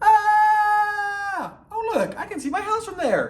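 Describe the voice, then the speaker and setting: This put-on character voice is extremely high-pitched and moves at a very slow pace. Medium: read story.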